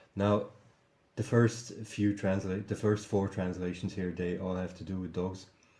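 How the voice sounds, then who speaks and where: A man speaks with a non-native accent at a moderate pace. His fairly low, dark and mellow voice stays monotone and flat. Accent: non-native English, noticeable. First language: German. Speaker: video commentator. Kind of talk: casual vlog commentary. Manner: halting, many fillers and repetitions.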